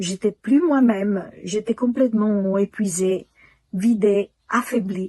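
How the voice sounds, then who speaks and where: A very slow pace with ordinary pitch variation. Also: woman. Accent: Italian. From Italy. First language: Italian (speaking French). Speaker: client giving testimonial. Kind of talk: testimony. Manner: halting.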